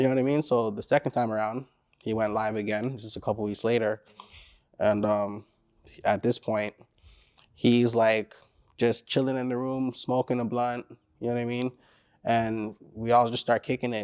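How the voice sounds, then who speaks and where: A man with a Caribbean accent speaks at a moderate pace with long, frequent pauses, his medium-pitched voice monotone and flat in a dry, close sound with no echo. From Caribbean descent. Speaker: rapper. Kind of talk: interview. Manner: casual, filler-heavy.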